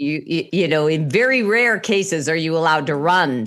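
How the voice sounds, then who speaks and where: A woman speaks with a very deep, low pitch while music plays in the background. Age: 60s. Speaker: recovery coach, interview host. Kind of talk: casual interview.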